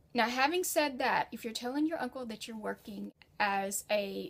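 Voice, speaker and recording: With an American accent, a woman talks in a fairly high, somewhat breathy voice with lively intonation. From United States. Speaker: freelance writer and educator. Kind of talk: tutorial. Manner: conversational.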